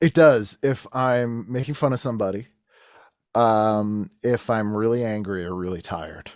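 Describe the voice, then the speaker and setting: The recording is very clean, with a silent background. An American accent comes at a moderate pace with ordinary pitch variation. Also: man, medium pitch for a man. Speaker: comedian and podcaster. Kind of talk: casual chat.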